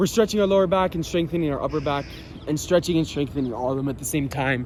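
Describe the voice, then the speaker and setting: A man's fairly high voice with ordinary pitch variation over noticeable background noise. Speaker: fitness instructor. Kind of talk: tutorial. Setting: outdoors in a park. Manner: casual; loud.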